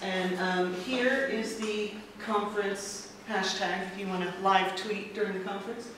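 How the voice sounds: A woman's medium-pitched voice at a moderate pace, with ordinary pitch variation and strong room echo.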